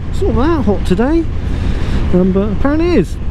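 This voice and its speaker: Moving at a fairly quick pace, a woman speaks over noticeable background noise. The sound is dry, with no echo. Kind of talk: casual vlog chat. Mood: cheerful, self-mocking. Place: motorbike. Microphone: helmet.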